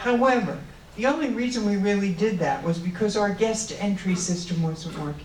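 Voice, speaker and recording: Speaking at a moderate pace with lively intonation, a woman is heard amid audible room echo and noticeable background noise. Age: 70s. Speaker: candidate for treasurer. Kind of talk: candidate speech at forum. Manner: halting, many fillers.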